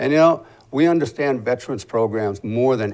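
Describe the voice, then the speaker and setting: A man in a plain, everyday voice at a moderate pace with ordinary pitch variation, recorded very cleanly against a silent background. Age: 60s. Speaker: political candidate, military veteran. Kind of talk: interview.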